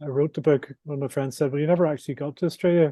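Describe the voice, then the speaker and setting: The man's fairly high pitch holds a fairly even intonation. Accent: Northern Irish. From Northern Ireland, Belfast. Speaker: adventurer and author. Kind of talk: interview. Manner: halting, with repetitions and fillers.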